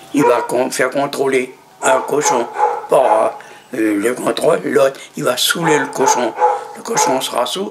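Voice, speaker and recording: A man speaks at a very slow pace, with long, frequent pauses. Noticeable background noise is present. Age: 90s. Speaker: elderly witness. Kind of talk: testimony. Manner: halting.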